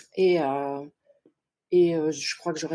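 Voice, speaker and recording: This is a woman speaking. Her pitch is fairly low. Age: 60s. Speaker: participant seeking love advice. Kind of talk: personal testimony on a talk show. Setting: online live show. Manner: hesitant, many fillers.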